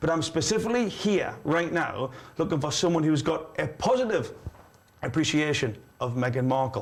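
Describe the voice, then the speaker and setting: Animated and lively in intonation, a man with a Geordie accent talks at a fairly quick pace and a fairly high pitch. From northeast England. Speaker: livestream host. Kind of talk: live call-in show. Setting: studio.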